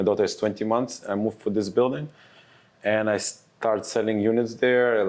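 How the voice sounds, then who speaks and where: A man speaks at a moderate pace with an Israeli accent. His pitch is fairly low, and his intonation stays fairly even. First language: Hebrew. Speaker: real estate advisor. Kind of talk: casual interview.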